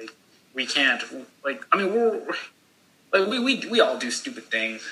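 A man's pitch swings very widely as he speaks at a moderate pace against noticeable background noise. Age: 20s. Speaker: college student. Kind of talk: casual chat.

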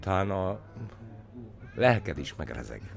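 A very deep, low-pitched man's voice with vocal fry speaks at a fairly slow pace with ordinary pitch variation. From Villány, southern Hungary. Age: 50s. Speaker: winemaker and former MP. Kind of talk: interview. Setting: makeshift studio at a festival. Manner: hesitant, many fillers.

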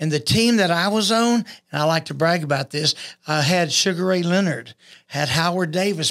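In a Texan accent, a man talks at a moderate pace with a high voice and ordinary pitch variation. The recording is very clean, with a silent background. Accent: Texan Southern US. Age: 60s. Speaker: boxing coach and former boxer. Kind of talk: casual podcast chat.

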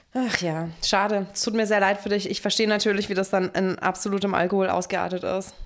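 A woman at a fairly quick pace, flat and monotone, with hardly any pauses. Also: medium pitch for a woman. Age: 30s. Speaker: podcast co-host. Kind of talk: casual chat.

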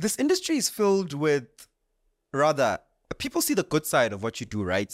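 Recorded dry and close with no echo against a silent background, a man speaks at a moderate pace with a fairly high pitch. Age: 20s. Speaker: podcast host and MC. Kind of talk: interview.

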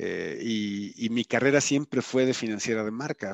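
Recorded with a dry, close sound with no echo and a quiet background, a man speaks at a fairly slow pace with ordinary pitch variation. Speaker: automotive executive. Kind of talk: interview. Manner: animated.

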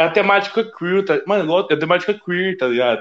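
Lively intonation marks the high-pitched speech of a man. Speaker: podcast host. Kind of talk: casual chat; ad read. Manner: animated.

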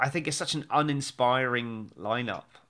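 Speaking in an English accent, the voice has a bright, sharp tone, ordinary pitch variation and a moderate pace, on a very clean recording with a silent background. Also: man. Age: 40s. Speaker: podcast host and stage actor. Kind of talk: casual chat. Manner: animated.

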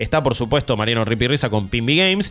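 Music behind a man whose pitch swings very widely. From Argentina. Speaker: podcast host. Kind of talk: casual chat.

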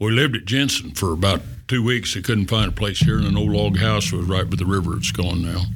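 A man with an American accent and a very deep, low voice talks very fast with lively intonation. Audible room echo and noticeable background noise surround him. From western Colorado. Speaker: retired business owner. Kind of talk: casual interview.

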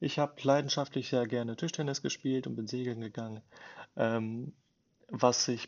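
A man holds a medium pitch and fairly even intonation while talking at a moderate pace. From Germany, Bielefeld (East Westphalia). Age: 20s. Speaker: podcaster, salesperson. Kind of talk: casual monologue.

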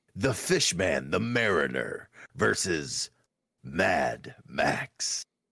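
The speaker is a man. He is using a put-on character voice.

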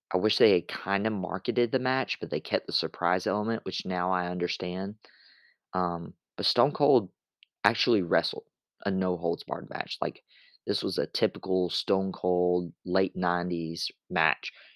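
A man's very deep, low voice at a moderate pace, ordinary pitch variation, dry and close with no echo, in a very clean recording with a silent background. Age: 20s. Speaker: wrestling podcast host. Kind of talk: solo podcast recap monologue. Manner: casual, with frequent filler words.

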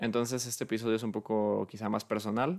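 A man talks at a moderate pace with a Mexican accent. His pitch is fairly low, and the recording is very clean with a silent background. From Mexico, Guadalajara. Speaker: podcast host. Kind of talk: unscripted solo monologue. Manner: halting, many fillers.

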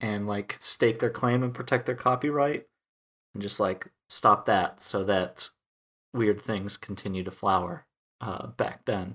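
A man with an American accent speaks in a plain, everyday voice, fairly low in pitch with ordinary pitch variation and a fairly slow pace, in a very clean recording with a silent background. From US Midwest (rural Wisconsin). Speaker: podcast host. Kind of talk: casual chat.

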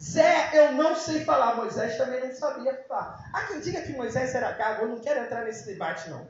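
With hardly any pauses, the speaker uses an animated tone and lively intonation over noticeable background noise. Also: man, extremely high pitch for a man, moderate pace, big swings in loudness. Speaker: preacher. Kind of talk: sermon.

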